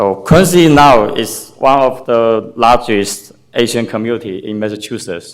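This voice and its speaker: Speaking with a non-native accent, a man keeps a fairly slow pace with hardly any pauses, medium pitch and ordinary pitch variation. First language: Chinese. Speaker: parent speaking at public comment. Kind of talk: public comment speech. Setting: public meeting at city hall. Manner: halting.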